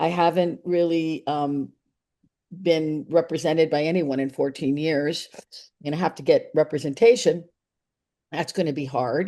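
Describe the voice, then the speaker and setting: A woman speaks in a very deep, low voice with a dark, mellow tone and fairly even intonation at a moderate pace. Her loudness swings widely, long pauses come often, and the background is quiet. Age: 60s. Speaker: actress. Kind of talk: interview. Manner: halting.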